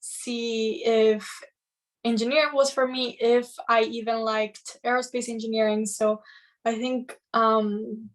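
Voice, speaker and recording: In a Spanish accent, a woman speaks at a fairly slow pace and a fairly high pitch, her intonation flat and monotone. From Madrid, Spain. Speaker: engineering student mentor. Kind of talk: casual chat.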